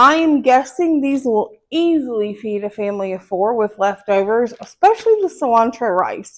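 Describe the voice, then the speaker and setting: In a Southern US accent, a woman speaks at a fairly high pitch. Her pace is moderate and her intonation lively. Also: quiet background. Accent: Southern country. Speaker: home cooking channel host. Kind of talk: cooking tutorial; casual storytelling.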